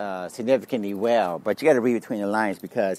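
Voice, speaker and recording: The recording has dry sound with no echo as a man talks in a fairly low pitch with ordinary pitch variation. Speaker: podcast host. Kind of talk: economic commentary. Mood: opinionated, slightly dismissive.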